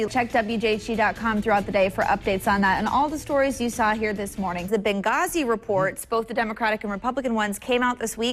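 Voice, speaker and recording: Over music in the background, a woman talks at a very fast pace in a fairly high pitch. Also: ordinary pitch variation. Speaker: TV news anchor and reporter. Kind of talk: TV news anchoring and reporting.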